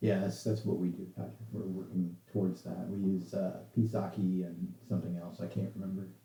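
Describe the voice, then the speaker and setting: Very deep and low, a man's dark, mellow voice with vocal fry runs at a moderate pace with lively intonation and hardly any pauses. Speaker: software developer giving a talk. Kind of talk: casual chat with online audience; technical presentation. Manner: halting, many fillers.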